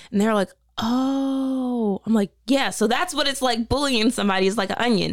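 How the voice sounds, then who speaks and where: Heard in a very clean recording with a silent background and a dry, close sound with no echo, a woman with a plain, everyday voice and an American accent speaks at a moderate pace, at fairly high pitch, with ordinary pitch variation and very even loudness. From Delaware, US. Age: 20s. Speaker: reality TV contestant. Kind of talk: casual chat.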